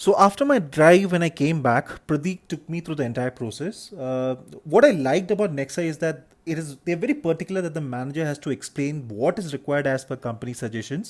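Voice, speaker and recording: In a Keralan accent, a man with a fairly high voice talks at a very fast pace with lively intonation. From Kerala, India. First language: Malayalam. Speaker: vlogger, hotelier. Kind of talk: travel vlog narration. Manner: hesitant, many fillers.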